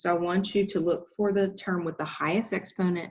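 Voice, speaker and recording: Moderately paced, this is a woman with a fairly low pitch. She has an ordinary speaking voice. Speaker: high school math teacher. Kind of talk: tutorial.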